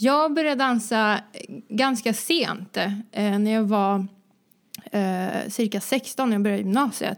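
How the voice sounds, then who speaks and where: A woman with a fairly high voice speaks at a fairly slow pace, leaving long, frequent pauses. Her pitch varies in an ordinary way and her loudness is very even. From Sweden, Vänersborg (born in Croatia). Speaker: dancer and entrepreneur. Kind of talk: casual interview.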